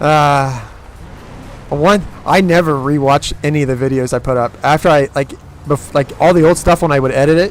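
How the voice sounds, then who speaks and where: Amid noticeable background noise, a man with a fairly high pitch and fairly even intonation speaks at a fairly quick pace broken by long, frequent pauses. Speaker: streamer. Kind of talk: casual chat.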